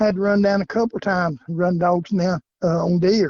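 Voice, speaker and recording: High-pitched man with a Southern US accent, fairly quick and fairly even in intonation. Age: 70s. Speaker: coon hunter. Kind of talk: interview.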